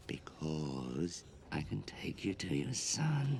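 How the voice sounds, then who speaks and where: A man puts on a character voice with a very deep, low pitch, speaking at a very slow pace over clear background noise. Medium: fan dub. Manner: urgent, earnest.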